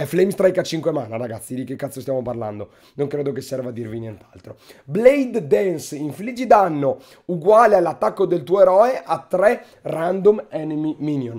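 At a moderate pace, the voice moves through very wide pitch swings and big swings in loudness. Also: man, fairly high pitch for a man. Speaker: gaming youtuber. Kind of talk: casual gaming commentary. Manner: informal, profane, joking.

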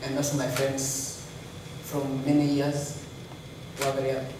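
A man talks at a fairly slow pace. There is audible room echo and noticeable background noise. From Kenya. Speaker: elite marathon runner. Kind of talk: press conference interview. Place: hall.

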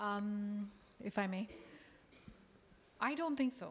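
A woman speaks at a medium pitch. Her pace is slow. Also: ordinary pitch variation.

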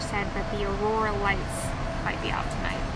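Loud background noise runs underneath a woman who talks at a fairly quick pace. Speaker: travel vlogger. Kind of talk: casual vlog chat. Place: boat. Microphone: phone near.

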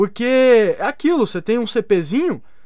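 Against a quiet background, a man with an extremely high pitch talks in an animated tone and with lively intonation. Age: 30s. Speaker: gaming youtuber. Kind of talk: casual opinion video. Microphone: studio mic.

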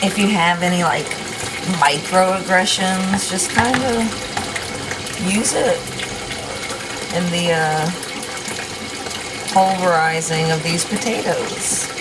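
Over clear background noise, a woman speaks slowly at a fairly low pitch, with long, frequent pauses. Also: ordinary pitch variation.

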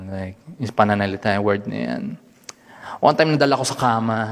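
A man speaking at a very fast pace amid noticeable background noise. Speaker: stand-up comedian. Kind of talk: stand-up.

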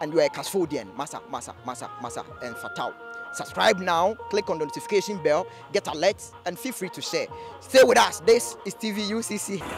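A man's voice with big swings in loudness, dry with no echo, over clear background music. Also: moderate pace. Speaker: TV presenter. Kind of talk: presenter piece to camera. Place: street. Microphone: handheld.

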